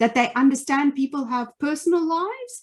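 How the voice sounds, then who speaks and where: A woman speaks with a South African accent. Her pace is moderate and her intonation is lively. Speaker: leadership trainer and former finance executive. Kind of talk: webinar presentation. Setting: online webinar.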